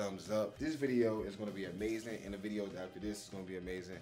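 Over light background noise, a man speaks at a very fast pace in a fairly low pitch with fairly even intonation. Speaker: family vlogger. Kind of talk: casual vlog chat. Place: home room. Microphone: phone near.

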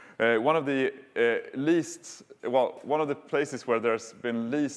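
A man's speech moves at a moderate pace and carries ordinary pitch variation. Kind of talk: conference talk. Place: hall.

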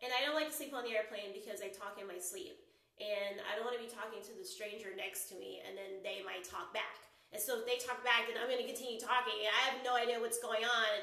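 A woman at a very fast pace, with ordinary pitch variation, big swings in loudness, and audible room echo. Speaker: live streamer. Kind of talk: casual vlog chat. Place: home room. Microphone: phone near.

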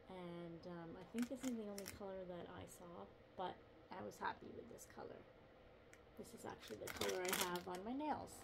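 Over noticeable background noise, the speaker keeps a moderate pace. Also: woman. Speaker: lifestyle vlogger. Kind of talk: casual talk to camera. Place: home room. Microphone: phone near.

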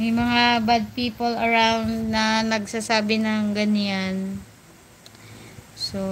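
Over audible room echo, a woman with a Batangas accent speaks at a very slow pace, her fairly high pitch set in a monotone, flat intonation. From Batangas, Philippines. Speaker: mobile game streamer. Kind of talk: live gaming stream chat. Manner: blunt, sounds bossy; not sweet or soft.

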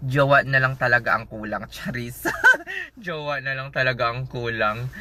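The man's tone is animated. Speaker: nurse vlogger. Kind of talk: casual vlog.

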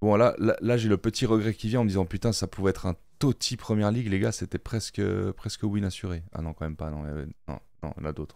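A man speaks at a very fast pace in a fairly low voice with ordinary pitch variation. The sound is dry with no echo, and the background is quiet. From Switzerland (French-speaking, Neuchâtel); Switzerland. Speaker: gaming YouTuber. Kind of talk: casual gameplay commentary. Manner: animated, excited exclamations. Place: home room. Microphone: studio mic.

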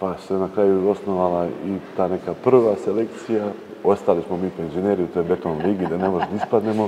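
A man's very deep, low voice at a fairly quick pace, fairly even in intonation, over light background noise. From Serbia, Čačak; Serbia. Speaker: Orthodox priest. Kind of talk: interview. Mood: relaxed, smiling. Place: church.

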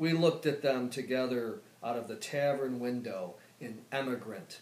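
Fairly slow speech from a man, room echo clearly audible. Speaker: poet. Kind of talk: poetry reading. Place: home room. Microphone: camera far.

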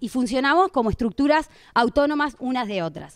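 A woman speaks with a Rosario accent at a high pitch. Her pace is moderate. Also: quiet background. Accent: Argentine Spanish (Rosario). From Argentina, Rosario; Argentina. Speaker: political activist; panelist. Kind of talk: panel talk. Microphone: handheld.

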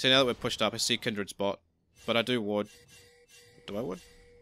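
With music in the background, a man rushes along at a very fast pace. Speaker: gaming commentator. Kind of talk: gameplay voiceover commentary. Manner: casual, hesitant.

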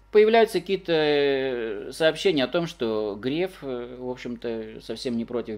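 The speech goes at a very slow pace with ordinary pitch variation. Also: man. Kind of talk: casual explanatory talk.

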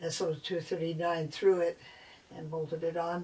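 A woman speaks at a fairly low pitch and a fairly slow pace. Her intonation is monotone and flat. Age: 70s. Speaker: amateur radio operator. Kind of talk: casual DIY tutorial talk. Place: home room. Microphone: camera far.

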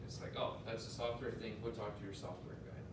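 Loud background noise fills the clip, and the room's echo is clearly audible. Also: man. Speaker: presenter. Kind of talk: presentation to an audience. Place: meeting room. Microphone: camera far.

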